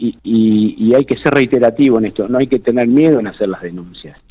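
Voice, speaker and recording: With a Rioplatense accent, a man talks at a moderate pace. His intonation is lively. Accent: Argentine Spanish (rioplatense). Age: 60s. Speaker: provincial security minister. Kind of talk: radio interview. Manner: halting, many repetitions and fillers.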